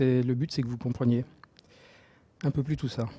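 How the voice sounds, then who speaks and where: At a fairly quick pace, a man speaks with a dark, mellow tone, somewhat breathy, his intonation fairly even. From Marseille, southern France. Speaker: software developer, open source project lead. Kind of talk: technical talk. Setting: meetup talk with audience and microphone. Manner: halting, many filler words and repetitions.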